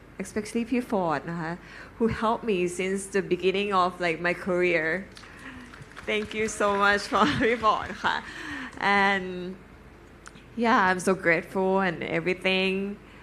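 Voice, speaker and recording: A woman with a Thai accent, fairly slow, with long, frequent pauses. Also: medium pitch for a woman, fairly even intonation. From Thailand. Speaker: fashion celebrity on a panel. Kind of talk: panel talk. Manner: halting.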